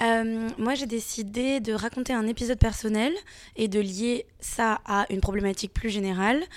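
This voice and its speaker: On a very clean recording with a silent background, a woman speaks at a moderate pace in a fairly high voice. It is a normal speaking voice, with fairly even intonation. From France. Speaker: comics author. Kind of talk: interview. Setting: festival.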